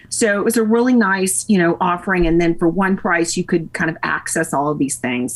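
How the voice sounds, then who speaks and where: Speaking with a Tennessee accent, a woman with a fairly low pitch talks at a fairly quick pace with lively intonation. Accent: Southern US (Tennessee). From US South, Nashville, Tennessee. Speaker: podcast interview guest, fitness enthusiast. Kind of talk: casual chat.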